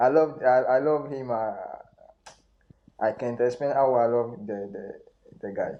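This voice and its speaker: Fairly slow, fairly even speech in a French accent, with long, frequent pauses. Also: man, medium pitch for a man. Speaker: football expert. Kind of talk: podcast interview. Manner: halting.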